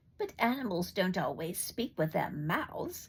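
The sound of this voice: A woman puts on a growling character voice at a medium pitch. She keeps a moderate pace.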